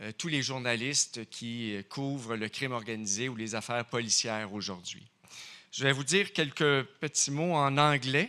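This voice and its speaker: In a very clean recording with a silent background, a man with a Quebec French accent speaks fairly quickly in a bright, sharp tone at a medium pitch with ordinary pitch variation. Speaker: crime journalist. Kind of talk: award acceptance speech. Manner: halting.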